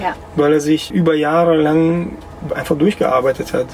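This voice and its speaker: Through noticeable background noise comes a man's high-pitched voice with a slight Russian accent. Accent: slight Russian, rolled R. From Russia, moved to Germany aged 9. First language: Russian (speaking German). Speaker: chef. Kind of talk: interview.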